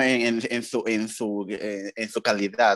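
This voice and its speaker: Over a quiet background, a man speaks at a very slow pace, the sound dry with no echo. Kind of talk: casual group discussion of a film. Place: home room. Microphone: video call.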